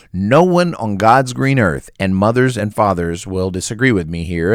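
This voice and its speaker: Animated and lively in intonation, a man speaks at a moderate pace with a fairly low pitch. The recording is very clean, the background silent. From Oklahoma. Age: 40s. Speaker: podcast host. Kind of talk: solo monologue.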